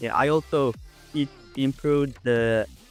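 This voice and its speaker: A man at a medium pitch speaks very slowly while music plays in the background. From Uzbekistan. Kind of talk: IELTS speaking test answers. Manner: confident, clear.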